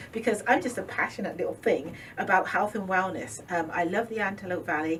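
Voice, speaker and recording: Noticeable background noise surrounds a woman speaking at a medium pitch. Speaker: holistic business owner. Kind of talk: interview. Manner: fast; animated.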